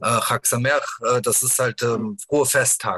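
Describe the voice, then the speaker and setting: Recorded dry and close with no echo, this man's voice comes through. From Germany, Bergisches Land (Wuppertal). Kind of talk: interview. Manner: halting, many fillers and restarts.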